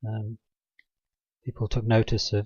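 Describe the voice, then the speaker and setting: The voice is quiet and moves at a moderate pace. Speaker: religious video blogger. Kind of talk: informal monologue presentation. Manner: halting, many fillers; drops volume, quiet. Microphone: mic adjusted nearer, may be quiet.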